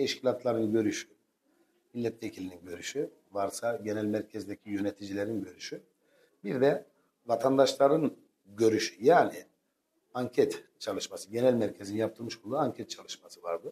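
A man's dark, mellow tone with big swings in loudness. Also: ordinary pitch variation, moderate pace. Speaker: candidate. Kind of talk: interview answer. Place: studio. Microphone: lapel.

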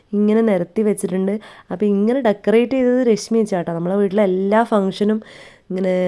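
The tone is dark and mellow, with fairly even intonation and very even loudness throughout. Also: woman, medium pitch for a woman. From North Malabar, Kerala. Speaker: family vlogger. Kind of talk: vlog narration.

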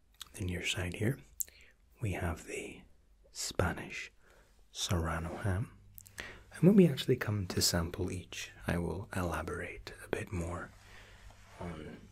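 The pace is fairly slow as a man talks. Long pauses come often. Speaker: waiter role-play host. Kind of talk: soft role-play explanation to viewer.

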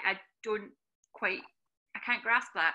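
Speaking at a fairly quick pace, a woman uses a fairly high pitch and a bright, sharp tone with ordinary pitch variation. The background is quiet. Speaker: charity engagement manager and webinar host. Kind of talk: hosted online career talk. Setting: video call webinar. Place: home room. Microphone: video call.

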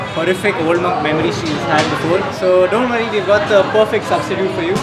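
Loud music plays in the background. Over it, a man talks very fast with ordinary pitch variation. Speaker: video host. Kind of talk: casual vlog chat. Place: bar. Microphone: lapel.

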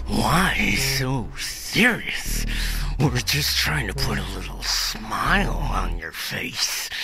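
Over loud background noise, a man speaks in a put-on character voice at a very slow pace. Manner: crazy, taunting.

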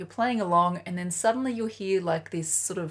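Against a quiet background, a woman with an Australian accent speaks at a fairly low pitch, somewhat breathy, with ordinary pitch variation. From Australia, Sydney. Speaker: flute teacher. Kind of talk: tutorial. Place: home room.

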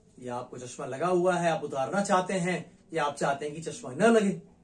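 A man's fairly high voice with lively intonation and big swings in loudness. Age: 50s. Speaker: nutrition expert. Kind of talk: health education monologue. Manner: smiling while speaking.

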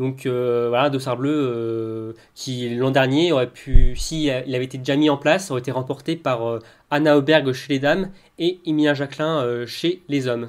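A man with an unremarkable speaking voice, medium pitch, fairly even intonation, and a moderate pace. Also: very clean recording, silent background. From Brittany. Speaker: podcast co-host. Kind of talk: casual chat.

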